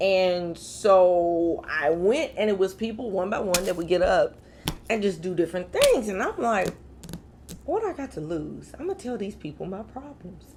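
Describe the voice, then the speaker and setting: A woman speaks in an animated tone at a medium pitch and a moderate pace, with ordinary pitch variation and noticeable background noise. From Kentucky, Louisville. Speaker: comedian. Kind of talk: casual interview chat. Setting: studio.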